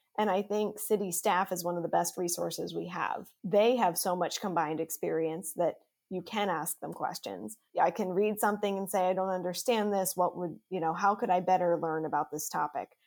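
A woman's medium-pitched voice with vocal fry, fairly even intonation and a fairly quick pace, hardly any pauses, in a very clean recording with a silent background. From Pennsylvania. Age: 20s. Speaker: city council member and nonprofit director. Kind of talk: interview.

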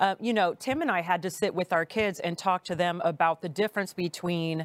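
In a plain, everyday voice, a woman speaks at a fairly low pitch with ordinary pitch variation, the sound dry and close with no echo and a very clean recording with a silent background. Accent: American. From California. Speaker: podcast host, salon owner. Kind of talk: interview.

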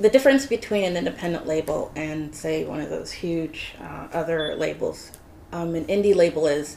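Woman with an ordinary speaking voice, fairly low in pitch, at a moderate pace. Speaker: singer, recording artist. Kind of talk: casual interview.

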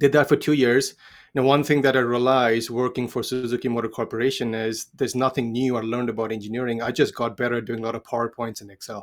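Over a very clean recording with a silent background, a man with an Indian accent speaks at a very fast pace in a monotone, flat intonation, with big swings in loudness. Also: medium pitch for a man. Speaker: financial advisor. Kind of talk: interview.

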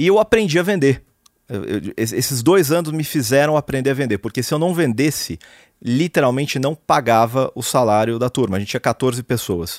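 With a plain, everyday voice, a man at medium pitch speaks at a moderate pace with lively intonation, the sound dry and close with no echo on a very clean recording with a silent background. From Brazil, São Paulo city. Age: 40s. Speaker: serial entrepreneur. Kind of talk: interview.

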